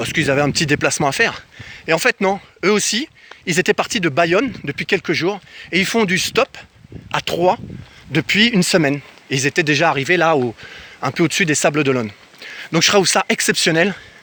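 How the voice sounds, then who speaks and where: A man with a high pitch, lively, animated intonation and a bright, sharp tone, fairly quick in pace yet with long, frequent pauses, in dry, close sound with no echo. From France, grew up in a housing estate (cité). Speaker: travel vlogger. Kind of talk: casual vlog storytelling.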